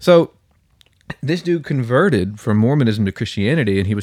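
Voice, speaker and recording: Lively intonation and moderate speed from a man with an ordinary speaking voice. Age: 20s. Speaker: podcast co-host. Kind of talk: casual chat.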